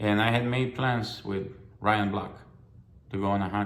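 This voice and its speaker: In a room with audible echo, a man speaks at a fairly low pitch and moderate pace with monotone, flat intonation. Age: 60s. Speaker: hunter. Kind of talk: personal testimony. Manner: halting, with fillers and repetitions.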